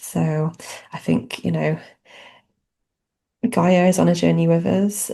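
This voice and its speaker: Speaking fairly slowly, a woman talks in a British accent. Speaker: spiritual channeler. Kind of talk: spiritual channeling talk. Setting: podcast recording.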